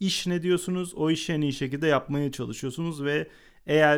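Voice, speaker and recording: A man with a normal speaking voice talks at a moderate pace, with a fairly high pitch and fairly even intonation, on a very clean recording with a silent background. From Adana, southern Turkey. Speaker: podcast host and entrepreneur. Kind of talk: solo podcast monologue.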